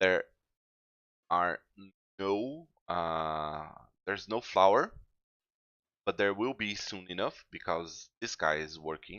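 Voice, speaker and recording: A man with a non-native accent, very deep and low in pitch, with ordinary pitch variation, a very slow pace and long, frequent pauses. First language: not English. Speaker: gaming youtuber. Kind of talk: let's play commentary. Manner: halting, many fillers.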